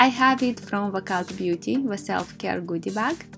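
A woman with lively intonation at a fairly slow pace, music in the background. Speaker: beauty vlogger. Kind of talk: skincare product review to camera.

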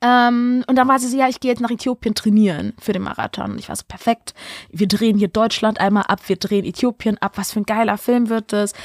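In a dry, close recording with no echo, a woman with a plain, everyday voice and a fairly high pitch speaks at a fairly quick pace with fairly even intonation but big swings in loudness. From Berlin, Germany. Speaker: casting director and film director. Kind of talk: casual chat.

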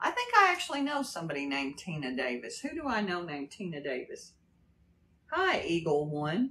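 Light background noise sits behind a woman speaking with an American accent. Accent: slight Kentucky accent with Texas drawl. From Texas. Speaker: livestreamer. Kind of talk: casual livestream chat. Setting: live stream. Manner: drawn-out drawl. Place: home room.

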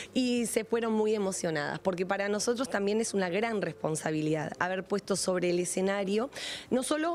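Ordinary pitch variation from a woman, moving at a moderate pace. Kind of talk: interview answer. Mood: warm, moved. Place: stage. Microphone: handheld.

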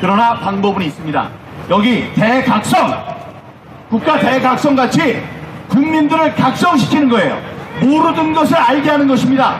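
A man with an extremely high pitch, animated tone and lively intonation, very even loudness, long, frequent pauses, and noticeable background noise. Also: moderate pace. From South Korea. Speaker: political activist, former lawmaker; speaker. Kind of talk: political rally speech. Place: stage.

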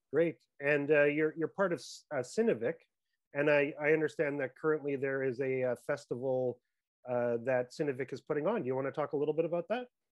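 A man talks at a fairly quick pace in a normal speaking voice, fairly high in pitch with ordinary pitch variation. The background is quiet. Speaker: interviewer. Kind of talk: interview. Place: home room. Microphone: earbuds.

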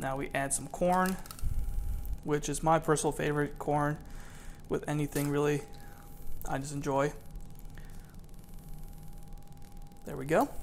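A man with monotone, flat intonation and long, frequent pauses, over light background noise. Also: moderate pace. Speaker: home cook vlogger. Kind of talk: cooking tutorial. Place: kitchen.

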